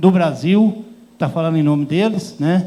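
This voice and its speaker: Audible room echo fills the recording. The speaking pace is fairly slow. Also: man. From Goiás, central Brazil. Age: 60s. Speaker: rural workers' union leader. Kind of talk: panel talk. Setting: conference stage with audience. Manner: plain, hesitant speech with fillers.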